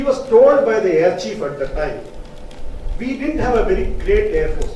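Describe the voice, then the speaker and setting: Amid noticeable background noise and audible room echo, a man keeps a moderate pace. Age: 70s. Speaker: audience member. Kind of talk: audience question at book launch.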